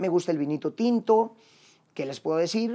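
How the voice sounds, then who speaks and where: A high-pitched man speaks at a moderate pace with ordinary pitch variation. The background is quiet. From Mexico. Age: 40s. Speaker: actor and comedian; actor, comedian. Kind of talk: personal monologue to camera. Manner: casual. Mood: reflective, confessional, warm. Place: home room. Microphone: lapel.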